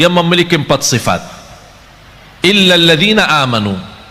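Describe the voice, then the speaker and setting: Noticeable background noise surrounds a man whose raised, projected voice carries an animated tone and lively intonation at a moderate pace. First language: Arabic (speaking Indonesian). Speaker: Islamic preacher. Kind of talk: sermon. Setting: live audience at religious gathering.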